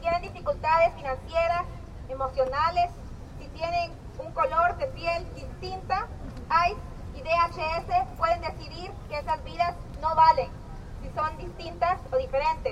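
Extremely high in pitch, a woman talks at a moderate pace with lively intonation and long, frequent pauses. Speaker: Spanish interpreter. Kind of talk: consecutive interpreting of a rally speech into Spanish. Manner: projecting, steady, mirroring the speaker's urgency.

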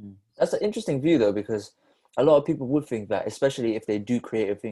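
A man talks at a very fast pace in a dark, mellow tone. His loudness swings widely. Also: medium pitch for a man, lively intonation. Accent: slight Bristol. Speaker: podcast guest. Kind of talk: casual chat.

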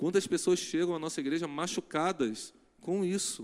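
A man is speaking. He keeps a fairly quick pace. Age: 40s. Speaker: pastor. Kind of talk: sermon. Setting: church. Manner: animated.

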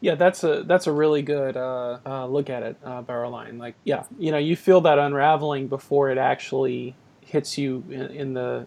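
This man has an ordinary speaking voice, fairly high in pitch, delivered at a moderate pace with fairly even intonation. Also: big swings in loudness. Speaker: podcast host. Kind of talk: casual chat. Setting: phone call.

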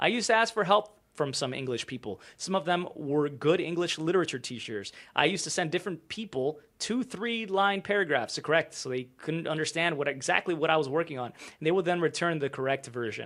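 In an unremarkable speaking voice, a man talks at a fairly quick pace and fairly high pitch with hardly any pauses, on a very clean recording with a silent background. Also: lively intonation. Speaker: YouTuber. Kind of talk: reading aloud a post. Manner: casual, conversational.

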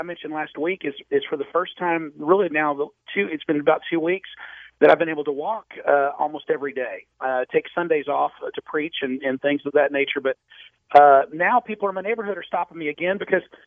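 This man talks at a fairly quick pace in a normal speaking voice. His pitch varies an ordinary amount. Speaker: weight-loss patient. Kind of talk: casual interview.

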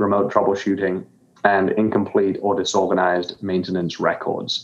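A man talks with a fairly low pitch. His delivery is monotone and flat. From grew up abroad, born in the UK. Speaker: software company founder and CEO. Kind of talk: interview. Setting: remote call into virtual studio.

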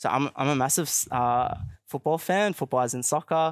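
A man with an Australian accent talks at a moderate pace in a fairly high voice with ordinary pitch variation. The sound is dry and close with no echo, on a very clean recording with a silent background. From Australia (Queensland, Melbourne). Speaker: youth organization leader. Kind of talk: interview. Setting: outdoor live broadcast. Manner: hesitant with many fillers.

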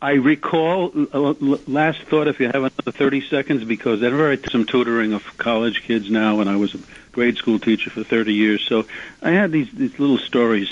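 He is a man with a New York accent. He speaks at a moderate pace. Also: medium pitch for a man, ordinary pitch variation. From Queens, New York. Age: 70s. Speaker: retired teacher, caller. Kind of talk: radio call-in. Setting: phone call.

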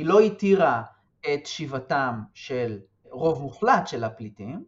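Very slow and with lively intonation, a man's fairly high voice shows big swings in loudness. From West Bank settlement near Hebron. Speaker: political science researcher. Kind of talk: interview.

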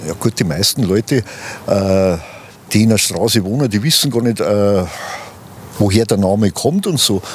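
A fairly low-pitched man at a moderate pace, with long, frequent pauses, very even loudness and ordinary pitch variation, over noticeable background noise. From Ingolstadt, Bavaria. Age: 70s. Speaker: retired transport business owner and local historian. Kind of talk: interview. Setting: outdoors.

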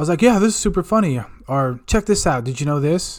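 On a very clean recording with a silent background, a man with a fairly high pitch talks at a fairly quick pace in an animated tone with lively intonation. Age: 40s. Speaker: podcast host. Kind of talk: casual solo monologue.

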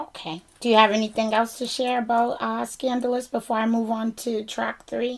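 The speaker has a Boston accent and a monotone, flat intonation. The pace is moderate, with hardly any pauses. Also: woman, fairly high pitch for a woman. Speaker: podcast host. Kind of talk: casual interview chat.

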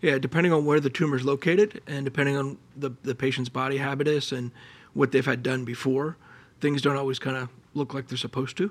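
A man with an American accent talks at a fairly quick pace in a normal speaking voice. His pitch is fairly high, with ordinary variation. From Pennsylvania, Allentown. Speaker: colorectal surgeon and researcher. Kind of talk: interview.

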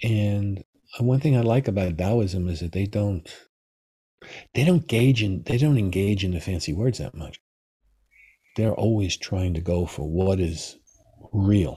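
Over a very clean recording with a silent background, a man speaks at a fairly low pitch with ordinary variation, his somewhat breathy voice dark and mellow in tone, moving at a fairly slow pace with long, frequent pauses. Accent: American. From New York City. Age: 70s. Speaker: Taoist master and author. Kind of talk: interview conversation.

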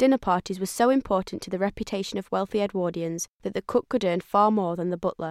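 On a very clean recording with a silent background and a dry, close sound with no echo, a woman uses a normal speaking voice at medium pitch, with ordinary pitch variation and a fairly quick pace. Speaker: audio tour narrator. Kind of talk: audio tour narration. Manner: formal, measured, even-paced; clear, informative, instructional.

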